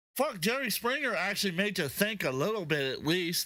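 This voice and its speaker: A man's raised, projected voice, high-pitched with a bright, sharp tone, very wide pitch swings and a fairly quick pace. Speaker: podcast co-host. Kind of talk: casual chat. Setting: livestream. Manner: animated; stuttering at times.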